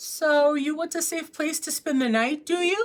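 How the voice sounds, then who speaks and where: Putting on a character voice, a woman sounds both squeaky and gruff at a high pitch, talking at a moderate pace with ordinary pitch variation. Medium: read story.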